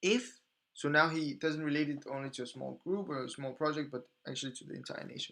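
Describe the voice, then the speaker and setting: Very fast and fairly high, a man's bright, sharp voice carries a non-native accent and ordinary pitch variation. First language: not English. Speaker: podcast host. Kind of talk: reading aloud with commentary. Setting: live stream. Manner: halting, repeating words while reading.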